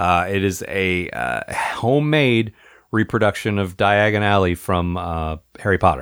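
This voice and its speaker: With an American accent, a man with a plain, everyday voice speaks at a fairly slow pace and a fairly low pitch. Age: 40s. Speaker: podcast host. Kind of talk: casual chat.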